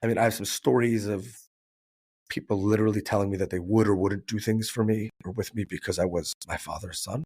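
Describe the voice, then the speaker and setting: In an American accent, a man with an ordinary speaking voice talks fairly quickly with fairly even intonation, recorded very cleanly against a silent background with a dry, close sound and no echo. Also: fairly low pitch for a man. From New York. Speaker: business owner, risk advisor. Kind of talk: podcast interview.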